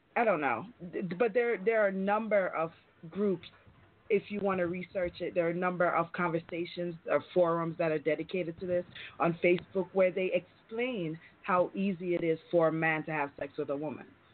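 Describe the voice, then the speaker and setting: This woman has a plain, everyday voice pitched fairly low. She moves at a fairly quick pace with ordinary pitch variation. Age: 30s. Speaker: IT specialist and self-described sex expert. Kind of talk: call-in radio discussion. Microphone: connection breaking up.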